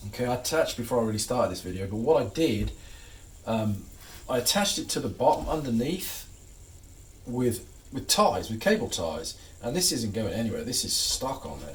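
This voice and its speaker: Using very wide pitch swings, a man with an American accent talks at a fairly quick pace between long, frequent pauses. Audible room echo fills the recording. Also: medium pitch for a man. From England. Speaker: hobbyist guitarist and YouTuber. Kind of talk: tutorial. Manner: casual, halting with fillers and repeats.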